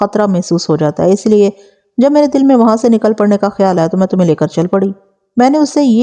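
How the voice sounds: Lively intonation in a natural reading voice over a quiet background.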